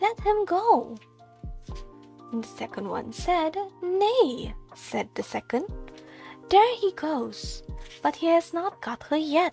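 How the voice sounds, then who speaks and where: A soft-spoken woman whispers at a very slow pace with long, frequent pauses as music plays in the background. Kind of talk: fairy tale narration, whispered bedtime reading. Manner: whispered, soft.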